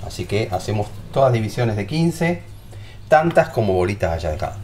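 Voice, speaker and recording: A man with a fairly low pitch and very wide pitch swings, long, frequent pauses, over light background noise. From Argentina. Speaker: home cooking youtuber. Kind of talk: cooking tutorial. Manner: animated. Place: kitchen. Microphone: camera far.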